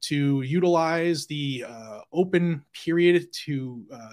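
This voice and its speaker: A man with an unremarkable speaking voice talks at a fairly high pitch with ordinary pitch variation. The recording is very clean, with a silent background. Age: 40s. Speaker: gun rights YouTuber, former police officer. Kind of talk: casual chat.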